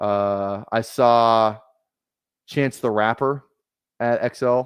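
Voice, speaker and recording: A man with a Minnesotan accent talks at medium pitch with ordinary pitch variation, in a dry, close sound with no echo. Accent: Minnesota. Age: 20s. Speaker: fantasy football streamer. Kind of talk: casual chat. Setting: live stream.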